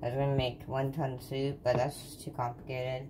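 A woman talks with a very deep, low pitch. Noticeable background noise runs behind her. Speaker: home vlogger. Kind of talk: casual vlog chat. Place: kitchen. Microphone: phone near.

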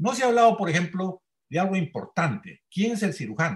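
Here a man talks at a fairly quick pace with lively intonation and a high pitch. The background is quiet. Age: 80s+. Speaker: senior trauma surgeon; panelist. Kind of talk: panel discussion. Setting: video call. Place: home room. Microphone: webcam.

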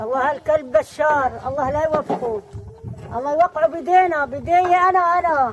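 Over noticeable background noise, the speech moves at a fairly slow pace with ordinary pitch variation. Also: woman. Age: old. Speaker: villager cooking outdoors. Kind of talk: street interview. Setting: outdoors. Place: open country. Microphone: phone near.

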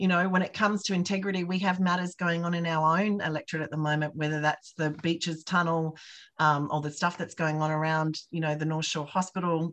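Speaking at a fairly quick pace with a fairly low pitch, a woman with an Australian accent keeps a monotone, flat intonation against a quiet background. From Australia, rural New South Wales. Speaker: political candidate; candidate. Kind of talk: campaign town hall talk. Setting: video call. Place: home room. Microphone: webcam.

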